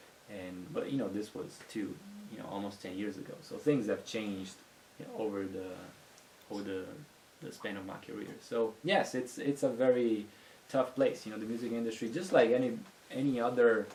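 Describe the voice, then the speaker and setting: A man speaks at a moderate pace in a medium pitch, with ordinary pitch variation. His loudness swings widely, and the room echo is audible. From Italy, Venice. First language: Italian. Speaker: music industry entrepreneur. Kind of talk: podcast interview.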